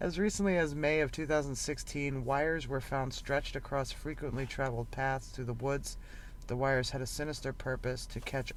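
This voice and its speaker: With audible room echo, a man speaks at a moderate pace and a fairly high pitch. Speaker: podcast host. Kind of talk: reading aloud. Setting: in a parked van. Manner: halting.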